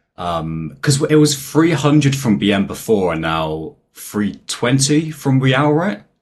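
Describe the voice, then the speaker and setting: Speaking at a very slow pace with hardly any pauses, a man with a British accent swings his medium pitch very widely. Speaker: anime YouTuber. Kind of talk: casual chat. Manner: hesitant, many fillers.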